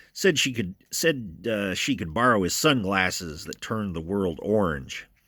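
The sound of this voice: An unforced reading voice with lively intonation comes through here.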